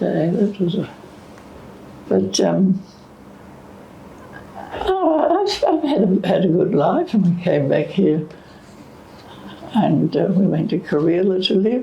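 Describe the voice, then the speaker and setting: The speaker talks at a very slow pace, with an Australian accent and long, frequent pauses. Noticeable background noise runs underneath. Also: woman. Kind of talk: interview answer.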